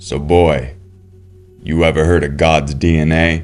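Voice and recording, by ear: Speaking at a moderate pace, a man puts on a character voice that is raspy and very deep, with monotone, flat intonation.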